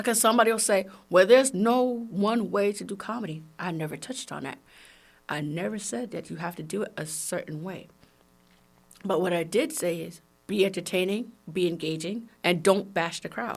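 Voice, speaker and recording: In a very clean recording with a silent background, a woman with a New York accent speaks fairly quickly in an animated tone at medium pitch, her loudness swinging widely. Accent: heavy New York. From Brooklyn, New York. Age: 40s. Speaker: comedian and podcast host. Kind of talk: podcast monologue.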